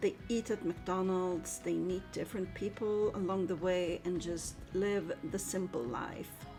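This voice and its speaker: A woman's medium-pitched voice with ordinary pitch variation and hardly any pauses, music in the background. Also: fairly slow pace. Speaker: book reviewer. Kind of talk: book review voice-over. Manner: enthusiastic.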